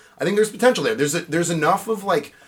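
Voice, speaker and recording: Someone speaks with an American accent as music plays in the background. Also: man. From New York. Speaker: podcast guest. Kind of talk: casual chat. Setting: studio.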